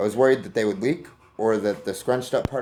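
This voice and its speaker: A man talks at a very fast pace, fairly low in pitch with ordinary pitch variation. His tone is dark and mellow over light background noise. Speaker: firearms hobbyist YouTuber. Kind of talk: tutorial. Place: garage. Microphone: phone near.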